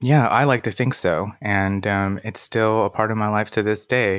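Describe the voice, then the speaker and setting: A man with an unremarkable speaking voice, fairly low in pitch, with ordinary pitch variation on a very clean recording with a silent background. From China (Beijing), moved to US at nine. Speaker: pianist and coach. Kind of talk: interview conversation.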